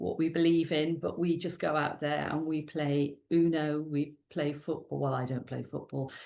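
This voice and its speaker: A woman with a Welsh accent speaks in a very deep, low voice with a dark, mellow tone, fairly even intonation and a fairly slow pace. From South Wales. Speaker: youth worker and children's author. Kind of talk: interview. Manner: halting.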